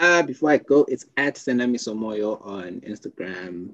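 With lively intonation, a man speaks in an unremarkable speaking voice. His pace is moderate. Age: 20s. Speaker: podcast host. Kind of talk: casual chat.

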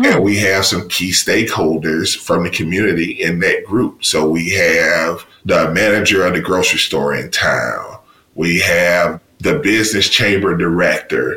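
Noticeable background noise sits behind a man with a Mississippi accent who speaks at a fairly slow pace, with hardly any pauses and very even loudness. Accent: Southern US (Mississippi). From US South, Mississippi. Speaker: university diversity officer and professor. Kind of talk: interview.

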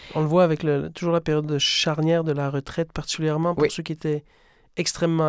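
On a very clean recording with a silent background, a man with a fairly high pitch speaks at a fairly quick pace in a flat, monotone way. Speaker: podcast host, theatre director. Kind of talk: scripted introduction; interview conversation. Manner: formal.

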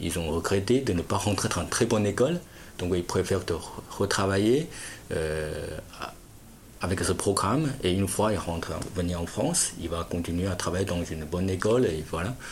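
A man speaks with a Chinese accent and a very deep, low pitch. His pace is moderate and his pitch varies in an ordinary way. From China. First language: Chinese (speaking French). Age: 30s. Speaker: importer-exporter. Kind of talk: interview. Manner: halting.

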